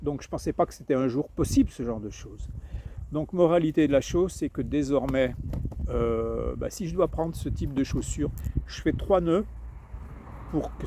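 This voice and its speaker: With long, frequent pauses, a man talks at a fairly slow pace. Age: 60s. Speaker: hiker vlogger. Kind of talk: casual vlog monologue. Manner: halting, many repetitions and fillers.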